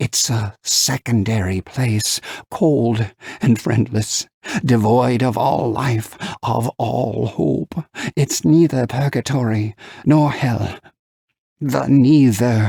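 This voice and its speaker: A man's put-on character voice at a medium pitch, very slow, broken by long, frequent pauses. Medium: read story. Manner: grave, explanatory.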